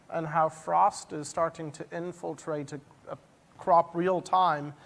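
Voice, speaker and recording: The speaker has an Irish accent. The pace is fairly slow. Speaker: industry panelist. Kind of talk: panel presentation. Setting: stage with audience.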